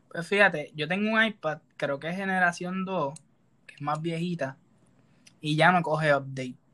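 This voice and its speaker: Bright and sharp in tone, a man with a fairly high pitch speaks at a moderate pace, showing ordinary pitch variation, big swings in loudness and long, frequent pauses. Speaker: podcast co-host. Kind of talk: casual chat.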